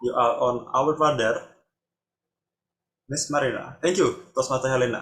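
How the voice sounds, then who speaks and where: A man speaks with a Jakarta accent. His pitch is fairly high and his intonation fairly even. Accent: Indonesian English, local Jakarta. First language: Indonesian. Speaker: table topics master at speaking club. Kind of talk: meeting hosting.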